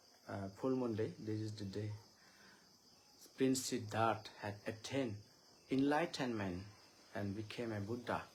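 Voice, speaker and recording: In a room with audible echo, a man with an Indian accent speaks fairly slowly at a fairly low pitch, somewhat breathy, with fairly even intonation and long, frequent pauses. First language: Chakma. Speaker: Buddhist monk giving a Dhamma talk. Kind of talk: live-streamed dharma talk. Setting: Facebook live stream. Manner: halting, many filler sounds.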